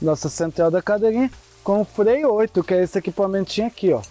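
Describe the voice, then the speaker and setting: Against a dry sound with no echo, a man speaks at a high pitch. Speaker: rappel guide. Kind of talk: safety briefing tutorial. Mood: relaxed, joking. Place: forest. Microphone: lapel.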